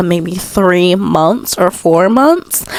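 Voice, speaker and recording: A woman at medium pitch with ordinary pitch variation, amid noticeable background noise. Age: 20s. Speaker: podcast host. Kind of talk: casual advice talk. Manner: casual, filler-heavy.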